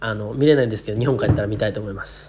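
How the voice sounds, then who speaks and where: Background noise is noticeable here. A man talks with ordinary pitch variation. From Japan, Niigata. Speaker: YouTuber. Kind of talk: casual vlog monologue. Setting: hotel room in quarantine. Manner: casual, rambling and run-on.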